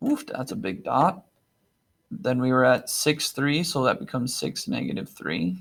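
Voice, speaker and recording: A man speaks at a moderate pace in a medium pitch, his voice swinging very widely up and down, with vocal fry. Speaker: math teacher. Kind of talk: tutorial. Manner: casual, upbeat.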